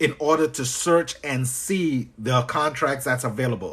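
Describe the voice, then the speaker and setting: A man talks at a moderate pace with a Trinidadian accent. His pitch varies in an ordinary way. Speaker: business coach. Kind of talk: live stream tutorial. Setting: live stream. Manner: animated.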